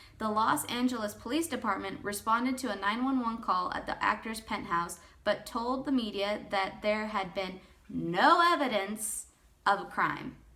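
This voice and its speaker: A woman's fairly high voice at a moderate pace, with noticeable background noise. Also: ordinary pitch variation. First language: not English. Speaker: YouTuber. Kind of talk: casual commentary; reading aloud. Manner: rambling, informal.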